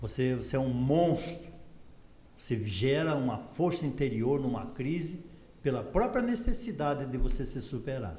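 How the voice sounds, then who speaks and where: With audible room echo, a man speaks at a moderate pace in a fairly high, dark and mellow voice with vocal fry and lively intonation. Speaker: company founder. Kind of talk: interview.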